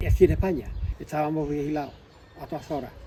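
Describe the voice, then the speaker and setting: A man speaks fairly quickly in a fairly high pitch, with noticeable background noise around him. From Andalusia, Spain (Arriate, Málaga). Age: 70s. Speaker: interviewee, former political activist. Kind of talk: testimony.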